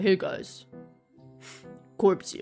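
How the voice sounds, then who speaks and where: A put-on character voice with faint music in the background. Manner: mocking, comedic.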